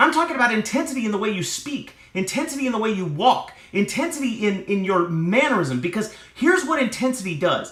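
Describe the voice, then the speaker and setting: Using a raised, projected voice, a man speaks at a high pitch with very wide pitch swings. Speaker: motivational speaker. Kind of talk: motivational talk. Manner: fast; animated.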